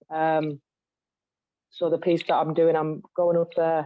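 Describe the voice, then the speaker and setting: A woman with a Cumbrian accent and a fairly low pitch speaks fairly slowly in a flat monotone. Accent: Cumbrian accent, commented on. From West Cumbria, England. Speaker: spoken word poet. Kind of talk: online panel discussion.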